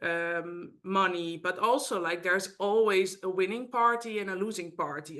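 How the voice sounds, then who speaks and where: The voice has a bright, sharp tone and speaks with a Dutch accent. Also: woman. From Netherlands. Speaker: mediator. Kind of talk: interview. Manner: halting.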